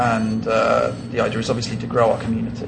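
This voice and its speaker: A man with an English accent, with audible room echo and noticeable background noise. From England. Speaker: card game tournament judge. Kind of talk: interview.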